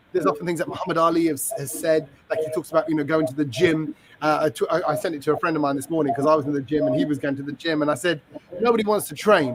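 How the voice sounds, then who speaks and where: Noticeable background noise sits under this recording. A man with a fairly high pitch speaks at a very fast pace. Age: 40s. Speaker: podcast host. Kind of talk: casual chat. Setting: hotel business center.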